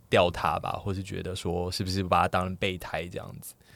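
A man speaks at a moderate pace. The recording is very clean, and the background is silent. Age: 30s. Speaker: podcast guest. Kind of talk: casual chat.

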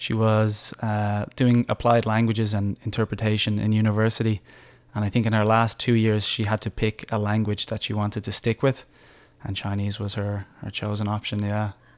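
The speaker has a slight Irish accent and a flat, monotone delivery at a moderate pace. The recording is very clean with a silent background and a dry, close sound with no echo. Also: man, fairly low pitch for a man. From Ireland, Dublin. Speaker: English teacher and nonprofit founder. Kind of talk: interview. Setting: studio.

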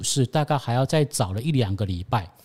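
The sound is dry and close with no echo, on a very clean recording with a silent background. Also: man. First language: Cantonese (speaking Chinese). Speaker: stock-picking coach. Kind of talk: casual finance interview.

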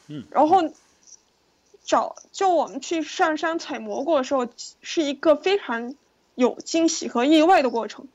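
Speaking at a fairly slow pace with long, frequent pauses, a woman uses a high pitch with ordinary pitch variation and big swings in loudness. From China, Yunnan province. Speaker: film director. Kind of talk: interview.

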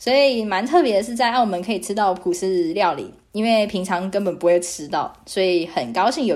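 A woman's medium-pitched voice runs at a fairly quick pace with lively intonation. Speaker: podcast host. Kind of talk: casual monologue. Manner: hesitant, many fillers.

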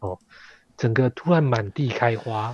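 A man's somewhat breathy voice at a fairly slow pace, dry and close with no echo. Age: 40s. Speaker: history content creator. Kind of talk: casual chat.

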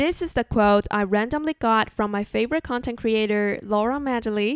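On a very clean recording with a silent background and a dry, close sound with no echo, a woman with a Chinese accent and fairly high pitch speaks at a moderate pace. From Taiwan. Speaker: podcast host. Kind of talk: solo podcast monologue.

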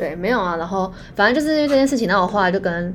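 A woman talks very fast with lively intonation. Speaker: podcast co-host. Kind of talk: casual chat.

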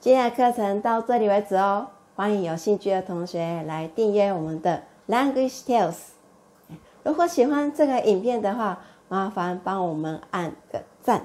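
A woman's medium-pitched voice, dark and mellow in tone, with lively intonation at a fairly slow pace. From Japan, Osaka. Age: 30s. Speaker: Japanese language teacher. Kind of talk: language lesson tutorial.

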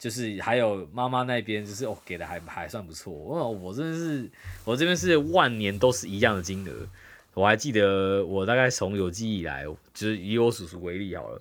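His intonation is lively, with big swings in loudness. The man talks at a moderate pace in a fairly low pitch. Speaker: podcast co-host. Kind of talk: casual chat. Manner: animated.

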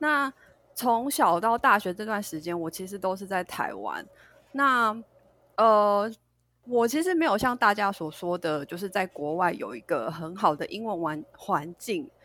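A woman's medium-pitched voice has a bright, sharp tone and very wide pitch swings. She speaks at a fairly slow pace on a very clean recording with a silent background. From Taiwan. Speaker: English pronunciation teacher. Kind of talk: casual chat.

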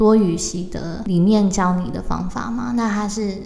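Audible room echo and noticeable background noise surround a woman who speaks at a fairly slow pace with lively intonation. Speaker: podcast host. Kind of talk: interview.

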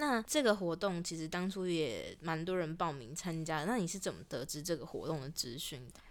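With an unremarkable speaking voice, a woman talks at a moderate pace with hardly any pauses, a fairly low pitch, lively intonation and big swings in loudness. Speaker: student radio podcast host. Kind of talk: casual interview.

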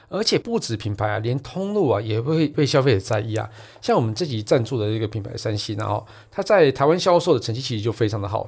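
A man speaks at a very fast pace with lively intonation, a medium pitch and a somewhat breathy quality, recorded very cleanly against a silent background. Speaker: tech podcast host. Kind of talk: casual chat; sponsored product review. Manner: animated.

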